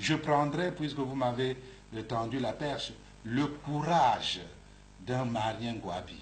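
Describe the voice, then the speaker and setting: A man speaks at a very slow pace, somewhat breathy. Audible room echo surrounds his voice. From Republic of the Congo. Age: 60s. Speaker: bishop. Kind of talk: interview. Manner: halting, repeats words.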